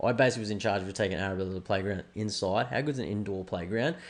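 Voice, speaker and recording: Talking at a very fast pace, a man with an Australian accent uses a fairly low pitch. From Australia, Brisbane. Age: 30s. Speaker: podcast host. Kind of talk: casual chat.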